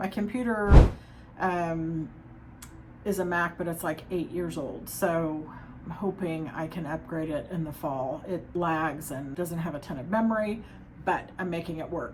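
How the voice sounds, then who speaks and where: Using a plain, everyday voice, a woman speaks at a fairly slow pace, fairly low in pitch with ordinary pitch variation. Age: 50s. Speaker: nanny and therapy student. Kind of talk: casual talk to camera.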